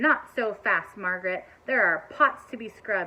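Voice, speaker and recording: A put-on character voice from a woman, medium in pitch, at a moderate pace. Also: lively intonation, big swings in loudness. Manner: threatening, stern.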